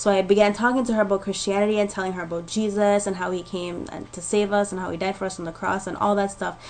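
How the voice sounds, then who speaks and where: This woman talks at a very fast pace in a medium pitch. Noticeable background noise sits behind her. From Jamaica. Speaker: vlogger. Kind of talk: personal testimony. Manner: casual, filler-heavy.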